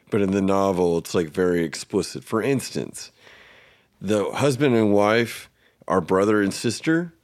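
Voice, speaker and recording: The recording is very clean, with a silent background and very even loudness. A man with a fairly low pitch and lively intonation speaks at a moderate pace in an unremarkable speaking voice. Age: 30s. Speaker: podcast host. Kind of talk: casual chat.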